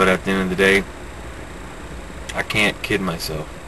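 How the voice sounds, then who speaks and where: A man speaks at a moderate pace with a very deep, low pitch. Noticeable background noise is present. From US South, Florida (Pensacola). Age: 30s. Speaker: vlogger. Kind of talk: personal video diary. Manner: halting, hesitant.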